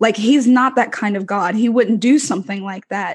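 A woman speaks in a fairly high pitch. Her voice is somewhat breathy, with fairly even intonation. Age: 20s. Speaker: student. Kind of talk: casual chat.

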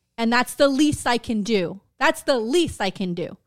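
With an animated tone and lively intonation, a woman with a fairly high pitch speaks at a fairly slow pace in a very clean recording with a silent background. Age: 40s. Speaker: podcast co-host. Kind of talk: casual chat.

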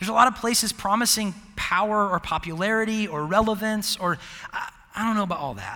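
A man speaks at a very fast pace with a high pitch and ordinary pitch variation. His voice is raised and projected. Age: 30s. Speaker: college ministry pastor. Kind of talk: sermon. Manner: halting.

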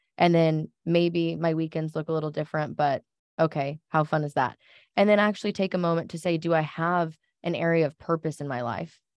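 In an unremarkable speaking voice, a woman talks at a fairly quick pace with fairly low pitch and fairly even intonation, the sound dry and close with no echo and the background quiet. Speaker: marketing coordinator and podcast co-host. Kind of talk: casual chat.

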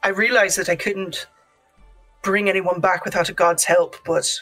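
A female-sounding voice with medium pitch puts on a raspy character voice at a moderate pace, with faint music in the background. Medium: actual play. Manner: soft, hesitant, polite.

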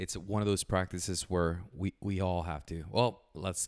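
In a very clean recording with a silent background, a man with a Puerto Rican accent speaks at a moderate pace with fairly even intonation and a very deep, low pitch. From Puerto Rico. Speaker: podcast co-host. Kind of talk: casual chat.

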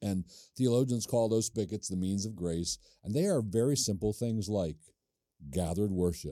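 Over a very clean recording with a silent background, the voice moves at a moderate pace with a dark, mellow tone and ordinary pitch variation. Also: man, fairly low pitch for a man. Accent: American. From Maryland, US. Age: 60s. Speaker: pastor and podcast host. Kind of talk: casual chat.

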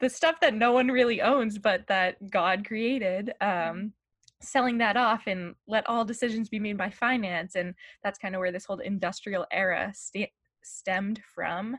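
A woman with an American accent and a plain, everyday voice, medium pitch, ordinary pitch variation and a moderate pace, in a dry, close sound with no echo. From Massachusetts, US. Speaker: university student. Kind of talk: casual interview.

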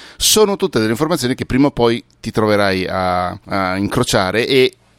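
The dry, close sound with no echo carries a man speaking at a fairly quick pace with ordinary pitch variation. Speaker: podcast expert and author. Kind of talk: casual chat. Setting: video call. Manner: animated.

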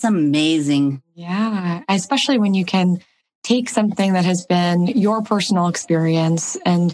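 A woman's medium-pitched, unremarkable speaking voice, fairly even in intonation and moderate in pace. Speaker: podcast co-host, arthritis patient advocate. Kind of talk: interview.

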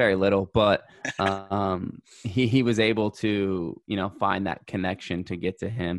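A man's unremarkable speaking voice with an American accent, fairly low pitch, fairly slow pace and fairly even intonation. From San Diego, California. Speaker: professional soccer player. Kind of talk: interview.

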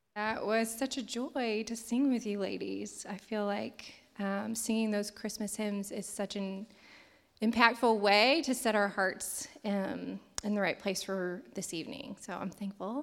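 This woman has a plain, everyday voice at a medium pitch. She talks at a fairly slow pace with fairly even intonation. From southern Indiana. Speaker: event emcee. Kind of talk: speaker introduction. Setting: church stage with audience.

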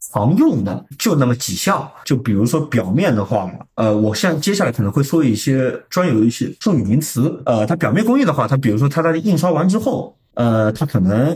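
The voice is somewhat breathy, with very wide pitch swings, very even loudness, a moderate pace, and hardly any pauses. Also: man, medium pitch for a man. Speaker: sales at a pharmaceutical packaging printing company. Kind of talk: casual interview. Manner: formal.

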